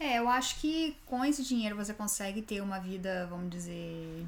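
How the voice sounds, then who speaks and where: Noticeable background noise sits behind this woman's voice. Her pitch is fairly high and her intonation lively. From Brazil. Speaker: podcast co-host. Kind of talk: casual chat.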